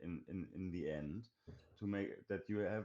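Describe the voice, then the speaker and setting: With a German accent, a man speaks at a fairly low pitch and a fairly slow pace. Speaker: indie game developer. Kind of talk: interview. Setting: live stream. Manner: halting.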